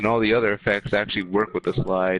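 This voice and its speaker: Music plays behind a man with a fairly low pitch. His intonation stays fairly even. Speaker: gaming streamer. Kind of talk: casual chat. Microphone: echo on own mic.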